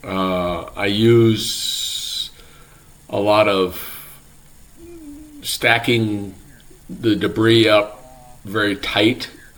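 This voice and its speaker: The man talks at a very slow pace with long, frequent pauses, flat monotone intonation and a fairly low pitch. Noticeable background noise runs underneath. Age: 70s. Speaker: retiree doing property and forestry work. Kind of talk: casual talk to camera. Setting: outdoors. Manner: relaxed, hesitant with fillers.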